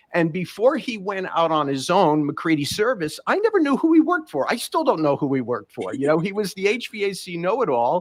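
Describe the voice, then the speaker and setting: With a New York accent, a man talks at a fairly quick pace in a high pitch, his voice swinging very widely with hardly any pauses. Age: 60s. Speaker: podcast host. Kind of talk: casual interview.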